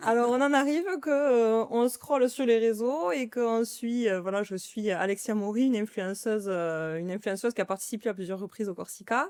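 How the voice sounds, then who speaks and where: Her pitch is fairly high, and this woman shows ordinary pitch variation. She keeps a moderate pace with hardly any pauses. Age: 30s. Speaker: sales employee, charity sports challenger. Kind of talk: interview conversation. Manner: casual, hesitant with fillers.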